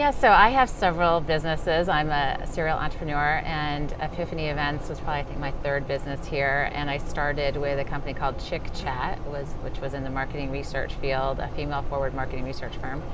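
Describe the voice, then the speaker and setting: With an American accent, a woman talks very fast at a very deep, low pitch, with hardly any pauses, fairly even intonation, noticeable background noise and audible room echo. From upstate New York. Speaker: event organizer and entrepreneur. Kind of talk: live interview chat. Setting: live show, downtown Seattle.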